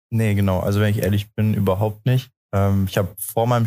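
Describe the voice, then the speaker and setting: A man with a fairly low voice, a fairly quick pace and fairly even intonation. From Osnabrück, northwestern Germany. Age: 20s. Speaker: intern. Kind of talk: interview. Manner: hesitant, many fillers.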